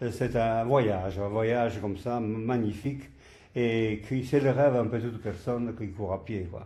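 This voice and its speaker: With audible room echo, a man with a dark, mellow tone speaks at a medium pitch, somewhat breathy and with fairly even intonation. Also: fairly slow pace. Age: 80s+. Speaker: marathon organizer and veteran runner. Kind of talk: podcast interview. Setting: sports hall.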